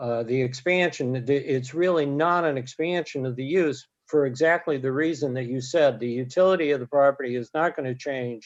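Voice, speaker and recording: With a quiet background, a man talks at a moderate pace in a fairly high pitch, showing ordinary pitch variation and hardly any pauses. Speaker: real estate appraiser. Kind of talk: expert testimony. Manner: halting; soft-spoken.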